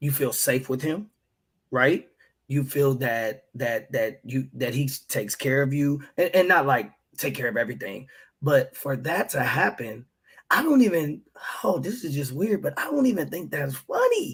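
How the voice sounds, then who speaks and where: Somewhat breathy and fairly high in pitch, a man talks at a moderate pace with ordinary pitch variation. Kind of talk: casual chat. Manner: whispering at times.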